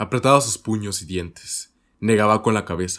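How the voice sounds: Set against a quiet background, a natural reading voice moves with ordinary pitch variation.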